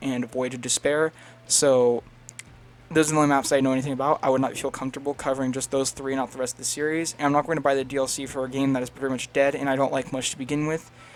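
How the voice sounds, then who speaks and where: Amid noticeable background noise, a man speaks very fast in a monotone, flat intonation at a medium pitch. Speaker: gaming video creator. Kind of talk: video essay narration.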